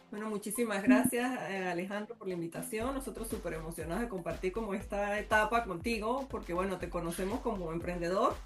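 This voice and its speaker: A woman in an Andean Venezuelan accent at a fairly quick pace, hardly any pauses, ordinary pitch variation and noticeable background noise. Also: medium pitch for a woman. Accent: Andean Venezuelan (gocho). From Venezuelan Andes (Táchira/Mérida). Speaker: entrepreneur. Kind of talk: casual interview.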